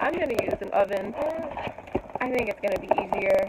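There is loud background noise. Over it, a woman talks at a fairly quick pace. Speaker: food reviewer. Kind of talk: casual vlog chat. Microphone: phone near.

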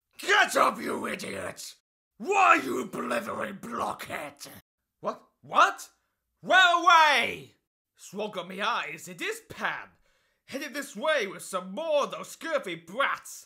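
A man's put-on character voice, extremely high in pitch, fairly slow and full of long, frequent pauses. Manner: shouting, commanding.

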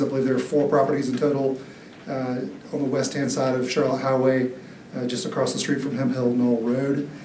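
Light background noise and audible room echo. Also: man. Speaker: presenter. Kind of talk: formal staff report presentation. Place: hall.

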